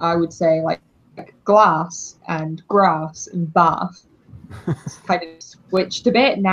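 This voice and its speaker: A woman with a southern English accent. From southern England. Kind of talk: casual, conversational.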